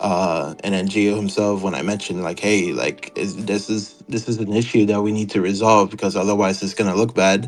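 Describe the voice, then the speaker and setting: With music in the background, a man talks at a fairly quick pace with hardly any pauses, using a fairly low pitch and fairly even intonation. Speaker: former server moderator. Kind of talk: interview. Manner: halting, with many fillers.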